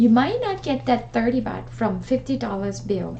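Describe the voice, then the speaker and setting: A woman speaks with a Thai accent. The room echo is audible. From Thailand. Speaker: travel vlogger. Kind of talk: tutorial. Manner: hesitant, with many fillers.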